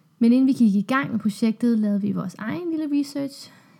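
Her voice is fairly high, somewhat breathy and dark and mellow in tone as the woman speaks at a moderate pace. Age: 30s. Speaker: doctor, podcast co-host. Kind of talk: conversational podcast intro.

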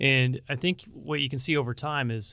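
A man's medium-pitched voice with an American accent, on a very clean recording with a silent background. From Pacific Northwest, Washington state. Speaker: military district commander. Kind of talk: interview conversation, informational. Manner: fast talker.

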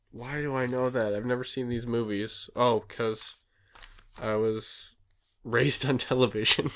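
In a very clean recording with a silent background, a man speaks at a moderate pace, his medium-pitched voice monotone with flat intonation. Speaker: podcast co-host. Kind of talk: casual chat, joking banter. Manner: joking, laughs often.

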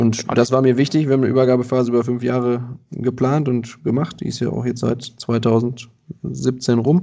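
At a medium pitch, a man with a dark, mellow tone speaks at a moderate pace with fairly even intonation. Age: 30s. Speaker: landscaping business owner. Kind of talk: interview.

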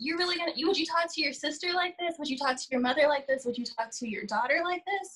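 Here a woman speaks at a very fast pace. Her high-pitched voice has lively intonation. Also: hardly any pauses. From Southern California. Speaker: artist guest. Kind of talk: casual interview chat. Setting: video call.

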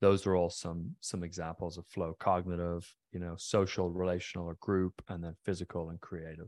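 A man with a slight Irish accent speaks at a moderate pace in a very deep, low pitch and a monotone, flat intonation. The recording is very clean with a silent background and a dry, close sound with no echo. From Ireland, County Mayo (west coast). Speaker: neuroscience researcher and company founder. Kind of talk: interview conversation.

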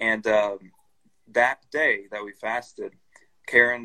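The man's tone is bright and sharp. His voice comes through dry and close, without any echo. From Brazil. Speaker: missionary. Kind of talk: interview.

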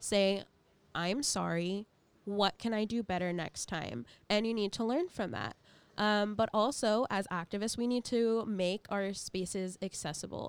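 Speaking at a fairly slow pace, a woman has an ordinary speaking voice with medium pitch and ordinary pitch variation. The recording is very clean, with a silent background. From US South, Orlando, Florida. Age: 20s. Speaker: climate activist and student. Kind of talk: casual interview. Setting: radio studio.

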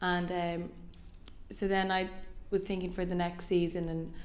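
With an Irish accent, a woman talks at a moderate pace and a fairly low pitch. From Ireland. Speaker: fashion designer. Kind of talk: interview. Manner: hesitant, many fillers.

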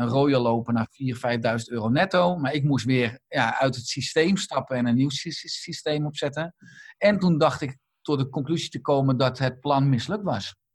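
A man with a fairly high pitch talks at a moderate pace, his voice somewhat breathy and his pitch varying in an ordinary way. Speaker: doctor and lifestyle author. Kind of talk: interview. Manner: halting, many repeated words.

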